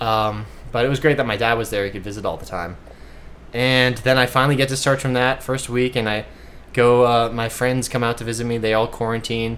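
In a Midwestern accent, a man with a medium pitch talks at a fairly quick pace with fairly even intonation. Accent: US Midwest (Ohio). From Ohio, Cleveland. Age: 20s. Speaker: surfer and amputee sharing illness recovery. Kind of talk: casual interview. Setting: in a house.

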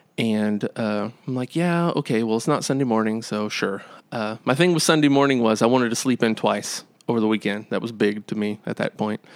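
On a very clean recording with a silent background, a man speaks fairly quickly in an unremarkable speaking voice at a medium pitch with ordinary pitch variation. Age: 30s. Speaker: worship pastor. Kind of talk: testimony.

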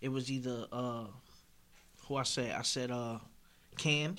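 A man at medium pitch with a bright, sharp tone and audible room echo. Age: 30s. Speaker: battle rapper and recording artist. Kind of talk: casual chat.

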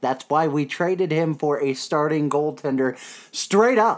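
The recording is very clean, with a silent background. A man with a fairly high pitch talks at a moderate pace. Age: 20s. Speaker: hockey podcast host. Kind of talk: casual chat. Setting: home recording.

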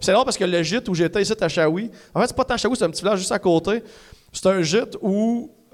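A man with a high pitch and ordinary pitch variation, speaking at a very fast pace. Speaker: comedian. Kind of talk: casual chat. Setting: stage with audience.

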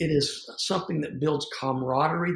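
A man with a Southern US accent, fairly high in pitch and somewhat breathy, at a moderate pace. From US South. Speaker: evangelist and stage performer. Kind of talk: interview conversation.

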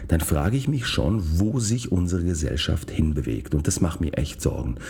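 Through audible room echo and noticeable background noise, a man speaks at a moderate pace in a very deep, low pitch with very wide pitch swings. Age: 40s. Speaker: podcast host, physician. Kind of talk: solo monologue podcast.

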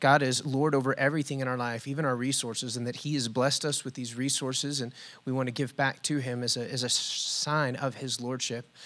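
A man with a plain, everyday voice talks at a medium pitch and a fairly quick pace, with fairly even intonation. The recording is very clean, with a silent background. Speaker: pastor. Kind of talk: leading prayer and response. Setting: church.

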